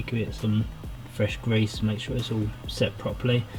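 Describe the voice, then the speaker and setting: A man's fairly low voice at a moderate pace, monotone and flat, with music in the background. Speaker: car mechanic and builder. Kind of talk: casual voice-over narration for a car build video.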